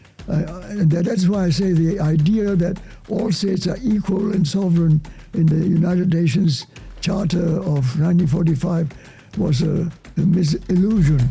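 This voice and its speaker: Moderate pace, very even loudness and ordinary pitch variation, with music in the background. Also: man, high pitch for a man. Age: 80s+. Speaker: historian. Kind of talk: interview answer. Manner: polite, precise articulation.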